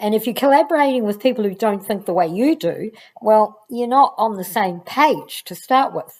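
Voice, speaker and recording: A woman with a plain, everyday voice talks at a moderate pace, fairly high in pitch and lively in intonation. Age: 60s. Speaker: education channel host, former teacher. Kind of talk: casual vlog talk to camera.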